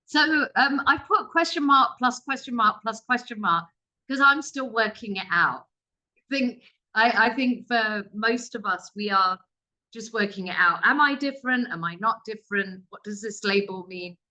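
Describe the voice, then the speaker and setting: A woman with a British accent speaks at a moderate pace in a bright, sharp tone, her fairly high pitch showing ordinary variation and her loudness swinging widely. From England. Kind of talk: webinar presentation.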